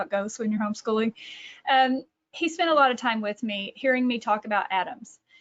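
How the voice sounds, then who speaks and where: A woman with a Texas accent, her pitch fairly high, at a moderate pace. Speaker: author and catechesis director. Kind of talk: webinar presentation. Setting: online webinar.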